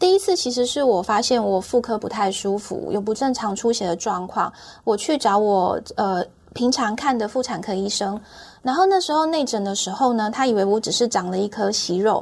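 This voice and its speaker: A woman speaks at a fairly high pitch with lively intonation. Her pace is moderate. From Taiwan, Taichung. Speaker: cancer patient sharing her story. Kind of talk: personal testimony in interview. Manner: halting, repeats words.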